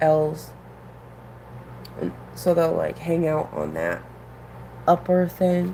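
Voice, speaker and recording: A woman with an American accent speaks at a very slow pace in a relaxed tone. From New England. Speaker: aquarium hobbyist streamer. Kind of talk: casual live stream chat. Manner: relaxed, hesitant with fillers.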